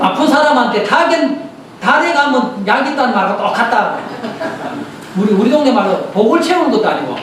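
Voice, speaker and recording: An extremely high-pitched man's voice, animated in tone with lively intonation and very even loudness, broken by long, frequent pauses, with audible room echo and noticeable background noise. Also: moderate pace. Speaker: Buddhist studies professor giving a dharma talk. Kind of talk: dharma talk lecture to lay audience. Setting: temple lecture hall with audience. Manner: animated, conversational with audience questions.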